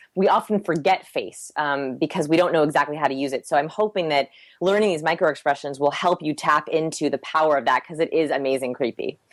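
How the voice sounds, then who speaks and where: A woman's very deep, low voice at a very fast pace with hardly any pauses and ordinary pitch variation, on a very clean recording with a silent background. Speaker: human behavior researcher. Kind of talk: podcast interview.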